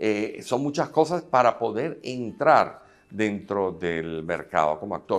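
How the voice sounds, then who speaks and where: A man with a fairly low pitch talks at a very slow pace. His pitch swings very widely. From Venezuela. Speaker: filmmaker and actor; actor. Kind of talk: interview. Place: hall.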